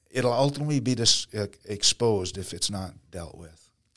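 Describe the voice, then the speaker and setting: A man in a plain, everyday voice talks at a fairly slow pace with ordinary pitch variation. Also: very clean recording, silent background. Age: 60s. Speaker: pastor and missionary leader. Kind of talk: casual interview.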